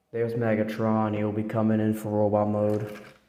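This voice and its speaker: With music in the background and audible room echo, a man talks at a medium pitch. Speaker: toy reviewer. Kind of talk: casual product review. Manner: casual, with fillers.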